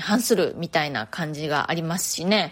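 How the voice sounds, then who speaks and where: A woman's relaxed tone on a very clean recording with a silent background. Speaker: fashion designer and podcast host. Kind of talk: solo podcast monologue. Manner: chatty, relaxed.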